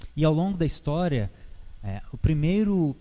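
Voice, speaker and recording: Slowly and in a dark, mellow tone, a man talks. His pitch varies in an ordinary way. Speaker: church Bible teacher. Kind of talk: Bible teaching talk. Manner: halting, with many fillers.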